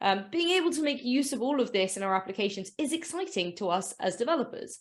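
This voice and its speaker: A woman with a British accent, high in pitch and fairly quick, on a very clean recording with a silent background. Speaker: developer advocate. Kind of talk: conference talk. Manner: casual, many fillers.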